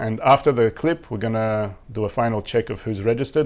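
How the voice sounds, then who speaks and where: A man at medium pitch, talking very fast with ordinary pitch variation. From Australia. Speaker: online course instructor. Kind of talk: live-stream Q&A. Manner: casual, with many repetitions and restarts.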